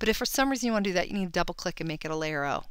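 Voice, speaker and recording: A woman is speaking. Her tone is animated. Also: very clean recording, silent background. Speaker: photography tutorial host. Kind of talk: tutorial.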